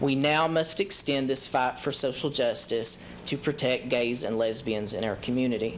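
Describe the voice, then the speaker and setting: Someone with an Eastern Kentucky accent speaks at a moderate pace with ordinary pitch variation, over noticeable background noise. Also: man, medium pitch for a man. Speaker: public commenter. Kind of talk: prepared public speech. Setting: city council chamber with audience. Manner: formal.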